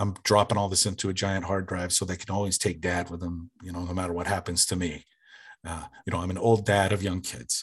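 With an American accent, a man speaks at a fairly quick pace in a very deep, low pitch, somewhat breathy and monotone, flat in intonation, against a quiet background. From small-town Oklahoma. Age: 40s. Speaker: sports fan. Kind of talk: casual chat.

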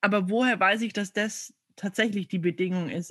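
Against a quiet background, a woman with a normal speaking voice talks at medium pitch and a moderate pace, with ordinary pitch variation. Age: 20s. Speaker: coaching client, coach. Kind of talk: coaching session. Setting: video call.

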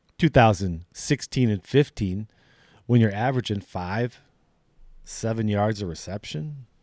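In a Wisconsin accent, a man speaks very slowly at a fairly low pitch with ordinary pitch variation. The sound is dry and close with no echo, on a very clean recording with a silent background. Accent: Upper Midwest (Wisconsin). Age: 40s. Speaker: sports podcast host. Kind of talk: casual solo sports commentary.

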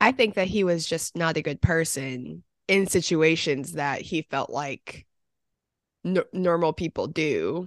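A woman with an unremarkable speaking voice talks at a fairly low pitch and a fairly slow pace with ordinary pitch variation in a dry, close sound with no echo. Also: quiet background. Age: 30s. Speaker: film podcast co-host. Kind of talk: casual chat. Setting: home recording, separate room.

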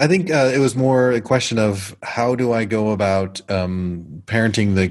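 A man with an American accent and an ordinary speaking voice, at a moderate pace with ordinary pitch variation and a quiet background. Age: 40s. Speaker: podcast host. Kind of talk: interview.

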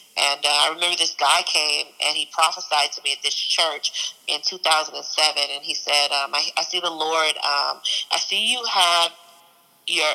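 A woman speaks with an American accent at a fairly slow pace. Noticeable background noise can be heard. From East St. Louis, Illinois (US Midwest). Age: 30s. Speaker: preacher and event promoter. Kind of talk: testimony. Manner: halting, many fillers.

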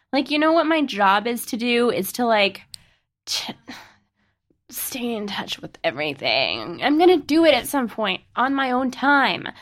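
A woman speaks at a fairly slow pace in a high pitch with lively intonation, on a very clean recording with a silent background. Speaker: design podcast host. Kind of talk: casual chat. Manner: joking, chatty.

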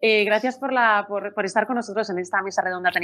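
Bright and sharp in tone, a woman speaks at a very fast pace. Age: 40s. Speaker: radio presenter and moderator. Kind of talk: panel moderation. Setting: live stream on social media.

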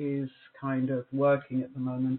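A woman with a British accent at a fairly slow pace. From England, Jamaican parents. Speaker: news editor and radio DJ. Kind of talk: interview.

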